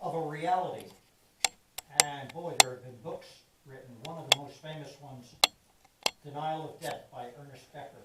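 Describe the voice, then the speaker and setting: A man with a high pitch speaks at a moderate pace, taking long, frequent pauses, with big swings in loudness. There's audible room echo and noticeable background noise. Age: 80s+. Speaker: lay speaker at a church service. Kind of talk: sermon.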